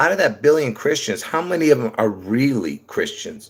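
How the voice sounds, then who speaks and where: Fairly quick speech from a man, ordinary pitch variation throughout. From born in Beirut, Lebanon, moved to US as child. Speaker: conspiracy livestreamer. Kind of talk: live stream monologue. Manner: halting, many fillers and restarts.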